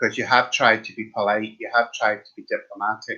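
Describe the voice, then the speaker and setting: The speaker is a man with an Irish accent. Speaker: tarot card reader. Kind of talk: live stream tarot reading. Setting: live stream. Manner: casual, chatty.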